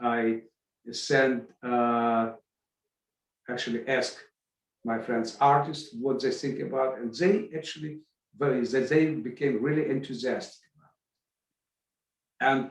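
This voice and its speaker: A man with a Russian accent and medium pitch talks at a fairly slow pace, with fairly even intonation and long, frequent pauses. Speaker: arts event organizer. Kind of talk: podcast interview. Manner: halting, many false starts.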